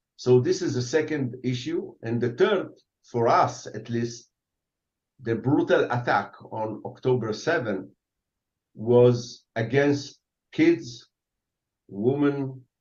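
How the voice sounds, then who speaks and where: Very slowly and with long, frequent pauses, a man with an Arabic accent speaks at a medium pitch. His voice is somewhat breathy, with ordinary pitch variation. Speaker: retired army general. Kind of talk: interview. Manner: halting; animated.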